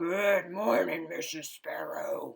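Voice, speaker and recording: A woman's raspy, put-on character voice. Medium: read story. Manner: stern, grumpy.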